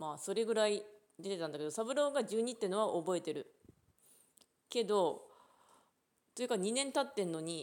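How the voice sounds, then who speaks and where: A woman at a medium pitch talks at a moderate pace, her intonation lively. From Japan, Ishikawa. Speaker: podcaster. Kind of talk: casual chat. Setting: outdoors at a rural unmanned train station.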